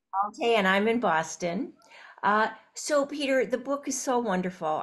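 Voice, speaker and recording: The background stays quiet. A woman talks at a moderate pace. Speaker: interviewer, event host. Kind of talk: interview host introduction. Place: home room. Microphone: video call.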